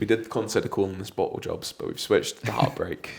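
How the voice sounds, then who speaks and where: This voice belongs to a man. His speech comes with an English accent. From England. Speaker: football podcast host. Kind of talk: casual chat.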